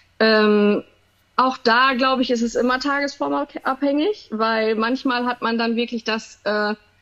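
A woman speaks with a high-pitched voice. Her intonation stays fairly even. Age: 30s. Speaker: emergency nurse with misophonia. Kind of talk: interview. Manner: hesitant, many fillers.

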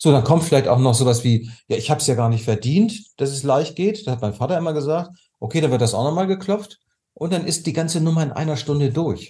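A man's very fast, somewhat breathy voice, fairly high in pitch, with lively intonation and a dark, mellow tone. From Germany. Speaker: tapping therapy coach. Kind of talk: interview.

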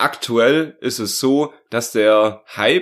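A man talks with ordinary pitch variation at a medium pitch. The background is silent and the recording very clean. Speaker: podcast co-host. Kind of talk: casual chat.

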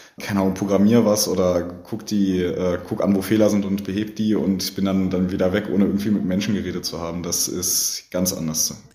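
A man's dark, mellow tone at a fairly low pitch, monotone and flat in intonation, at a fairly quick pace with audible room echo. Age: 20s. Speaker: IT apprentice. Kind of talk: interview. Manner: hesitant, many fillers.

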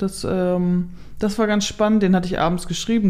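This woman has an unremarkable speaking voice and talks at a moderate pace. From northern Germany, Kellinghusen, Steinburg district. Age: 30s. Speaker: blogger and influencer on rural life. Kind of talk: casual interview. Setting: holiday flat at her home.

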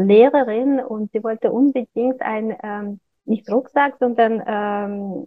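A woman with a Russian accent talks very slowly at a fairly high pitch. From Kazakhstan. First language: Russian (speaking German). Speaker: fashion designer. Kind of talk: interview. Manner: halting.

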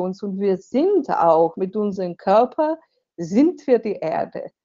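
A woman with a Slovenian accent speaks with very wide pitch swings. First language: Slovenian (speaking German). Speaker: author and seminar leader. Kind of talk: interview.

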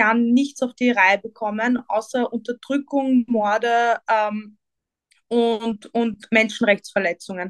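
A woman with an unremarkable speaking voice, fairly high-pitched, fairly slow, with fairly even intonation and a dry, close sound with no echo. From Vienna, Austria. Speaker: political activist. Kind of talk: interview.

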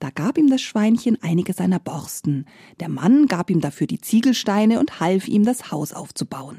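In a very clean, dry, close recording with no echo and a silent background, a woman at medium pitch speaks at a moderate pace with a warm, gentle, dark and mellow tone, somewhat breathy, with very wide pitch swings. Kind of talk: bedtime story telling. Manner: animated, sing-song rhythmic voices for pig and wolf characters; warm, gentle storyteller pacing with playful rhymes.

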